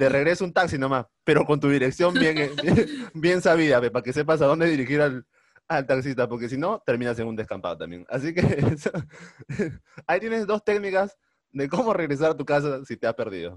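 Fairly high-pitched man with an animated tone and lively intonation at a fairly quick pace. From Peru, Trujillo (northern coast). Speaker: podcast co-host. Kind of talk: casual chat. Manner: animated, laughing often.

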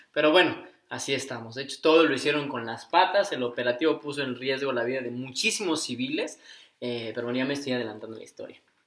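A very fast man with a medium pitch, ordinary pitch variation and big swings in loudness. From Mexico, Cuernavaca, Morelos. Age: 20s. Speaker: podcast co-host. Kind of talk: casual chat.

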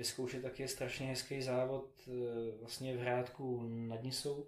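A man at medium pitch in monotone, flat intonation. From Czechia, Prague. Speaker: philanthropist and triathlete. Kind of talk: interview. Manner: halting, many fillers.

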